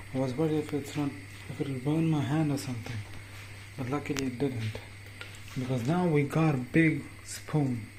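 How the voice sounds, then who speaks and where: A man with a fairly high pitch and ordinary pitch variation speaks at a moderate pace. He leaves long, frequent pauses over noticeable background noise. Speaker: home cooking vlogger. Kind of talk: casual talk to camera. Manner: overacting, playful.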